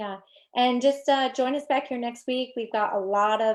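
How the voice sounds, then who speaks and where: A woman's normal speaking voice, ordinary pitch variation, moderate pace, quiet background. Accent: American. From New York. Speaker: social media marketing coach. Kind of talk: live stream training. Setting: live video stream.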